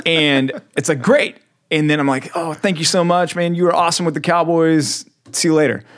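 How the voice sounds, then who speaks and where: A man with an American accent, a fairly high pitch and a plain, everyday voice, at a moderate pace with ordinary pitch variation. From Texas. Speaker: podcast host. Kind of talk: casual chat. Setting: studio.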